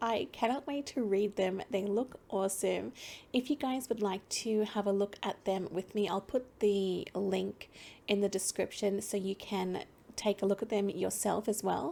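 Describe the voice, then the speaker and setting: A soft-spoken woman at a medium pitch with vocal fry and a dark, mellow tone, ordinary pitch variation and a fairly slow pace, on a very clean recording with a silent background. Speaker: let's play gamer. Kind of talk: casual talk to camera.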